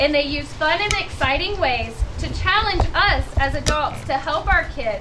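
With noticeable background noise behind her, a woman with an American accent uses a raised, projected voice and very wide pitch swings. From US Midwest. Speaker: prevention specialist. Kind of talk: public speech. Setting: outdoors. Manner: animated. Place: garage. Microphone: camera far.

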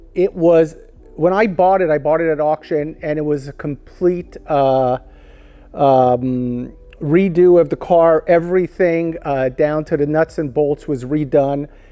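A man speaks fairly slowly with fairly even intonation. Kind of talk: casual tour commentary.

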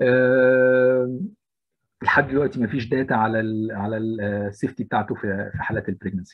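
A man's medium-pitched, normal speaking voice at a moderate pace with fairly even intonation. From Egypt, Alexandria. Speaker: intensive care physician. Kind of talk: lecture.

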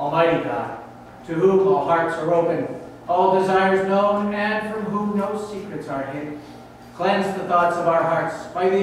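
A man with a high-pitched voice talks at a fairly slow pace. Strong room echo and light background noise are audible. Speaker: minister leading worship. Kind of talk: liturgical prayer. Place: church.

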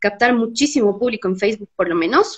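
A woman talks at a fairly quick pace with ordinary pitch variation over a quiet background. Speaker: interviewer. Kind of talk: interview host introduction. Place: home room. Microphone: video call.

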